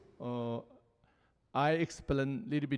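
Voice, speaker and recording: Over a quiet background, a man with a Tibetan accent talks at a fairly high pitch with ordinary variation. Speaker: Buddhist teacher. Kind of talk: panel dialogue. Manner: halting.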